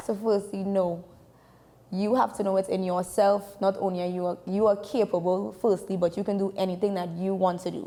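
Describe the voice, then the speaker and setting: A woman with a Trinidadian accent speaks at a moderate pace in a medium pitch, her tone dark and mellow and her intonation flat and monotone. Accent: Trinidadian accent, once called too thick. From Trinidad and Tobago. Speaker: sports information director and journalist. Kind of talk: interview.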